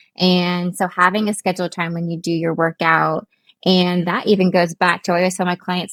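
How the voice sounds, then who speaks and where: Speaking with an American accent, a woman keeps a fairly quick pace. The recording is very clean, with a silent background and a dry, close sound with no echo. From US Midwest (Columbus, Ohio). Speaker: fitness and nutrition coach. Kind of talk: interview conversation.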